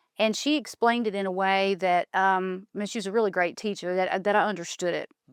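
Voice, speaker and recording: At a fairly quick pace, a woman speaks in a normal speaking voice at medium pitch with fairly even intonation, recorded very cleanly against a silent background. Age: 40s. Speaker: podcast host. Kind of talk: interview. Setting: studio.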